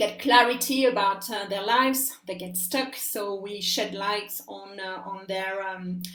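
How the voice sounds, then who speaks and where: A woman speaks at a fairly slow pace with hardly any pauses, her medium pitch showing ordinary variation while her loudness swings widely. Audible room echo and noticeable background noise surround her voice. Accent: French. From France. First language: French. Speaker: life coach. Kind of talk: interview. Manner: hesitant, many fillers.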